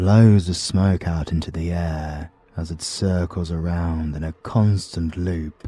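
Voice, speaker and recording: Speaking at a very slow pace with a British accent, a man uses a very deep, low pitch and fairly even intonation over noticeable background noise. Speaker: voice actor. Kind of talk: audiobook narration.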